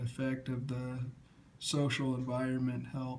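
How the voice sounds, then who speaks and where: The voice is somewhat breathy and moves at a fairly slow pace. Room echo can be heard. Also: man. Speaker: student presenter. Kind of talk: class presentation. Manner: halting.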